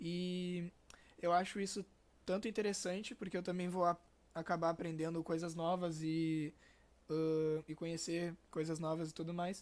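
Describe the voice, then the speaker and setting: A man speaks at a moderate pace in a high voice with monotone, flat intonation. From Rio Grande do Sul, Brazil. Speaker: podcast host. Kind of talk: casual podcast chat. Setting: video call with webcam.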